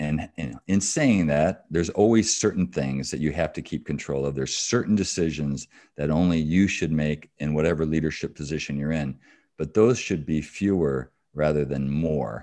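A man with a Midwestern American accent speaks at a moderate pace over a quiet background. His very deep, low voice has a dark, mellow tone and ordinary pitch variation. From Michigan, US Midwest. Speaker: business executive and author. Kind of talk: interview.

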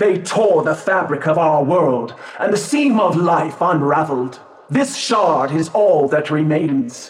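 A man puts on a character voice, speaking in a solemn tone at a fairly slow pace. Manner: solemn, mystical, measured.

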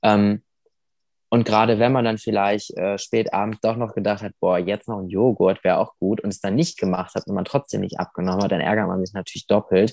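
A man with an ordinary speaking voice talks at a fairly quick pace and fairly low pitch with fairly even intonation, the sound dry and close with no echo. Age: 20s. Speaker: amputee sharing his weight-loss story. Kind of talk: interview.

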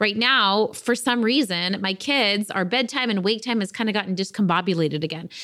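A woman's bright, sharp, warm and enthusiastic voice at medium pitch, fairly quick pace, hardly any pauses and ordinary pitch variation. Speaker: business coach podcast host. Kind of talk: casual solo podcast monologue. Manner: chatty, warm and enthusiastic.

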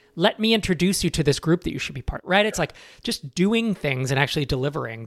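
Speaking fairly quickly with lively intonation, a man with an unremarkable speaking voice and a fairly high pitch is heard in a dry, close, very clean recording with a silent background and no echo. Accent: American. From California. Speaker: startup founder and investor. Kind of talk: interview conversation.

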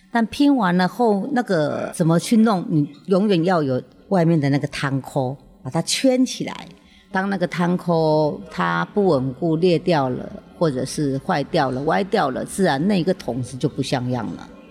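A woman's fairly low voice at a fairly slow pace, lively intonation, and music in the background. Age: 50s. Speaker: actress. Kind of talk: casual interview. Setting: open studio.

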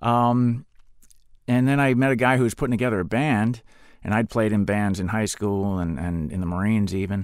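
Here is a man with an American accent and an unremarkable speaking voice. He talks fairly quickly at a fairly low pitch, with ordinary pitch variation. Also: very clean recording, silent background. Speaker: actor and former Marine. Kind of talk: interview.

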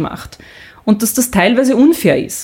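Lively intonation marks a woman's high-pitched voice. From Austria. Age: 40s. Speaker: sports presenter and podcaster. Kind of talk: casual interview. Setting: photo studio.

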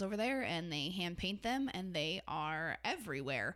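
Vocal fry runs through a bright, sharp tone with lively intonation on a very clean recording with a silent background. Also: woman. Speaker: podcast co-host. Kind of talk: casual travel chat.

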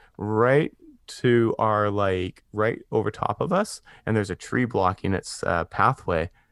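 A man's fairly low-pitched, ordinary speaking voice at a fairly slow pace with ordinary pitch variation, dry and close with no echo over a quiet background. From British Columbia, Canada. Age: 30s. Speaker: podcaster. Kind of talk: casual chat. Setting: video call.

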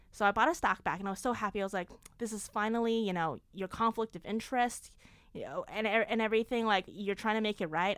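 In a very clean recording with a silent background, a woman with a New York accent talks at a very fast pace, her fairly high pitch showing ordinary variation. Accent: New York American. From Long Island, New York (born in China). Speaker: startup founder. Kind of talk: interview. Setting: small hot closet studio. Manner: animated.

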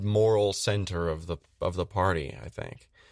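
A man's normal speaking voice, fairly low in pitch with ordinary variation, at a fairly slow pace in a very clean recording with a silent background. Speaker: cast member, player. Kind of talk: casual chat.

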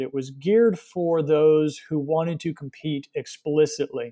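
A man with an unremarkable speaking voice and an American accent, fairly high in pitch, at a moderate pace with fairly even intonation. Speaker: cycling event organizer. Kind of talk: interview.

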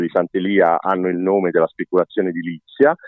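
A man's voice with a very deep, low pitch. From Rome (half Roman). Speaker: president of a cultural association. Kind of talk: interview. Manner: halting, many fillers and restarts.

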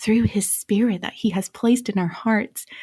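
A woman talks in an American accent, somewhat breathy. The recording is very clean with a silent background, and the sound is dry and close with no echo. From Romania, raised as American missionary kid. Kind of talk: radio interview.

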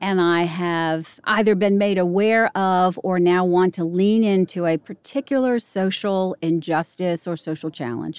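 In a normal speaking voice with an American accent, the speaker talks at a fairly slow pace with hardly any pauses and ordinary pitch variation, on a very clean recording with a silent background and a dry, close sound with no echo. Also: woman, medium pitch for a woman. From US, Northern Virginia (Arlington). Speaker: podcast host. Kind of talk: interview conversation.

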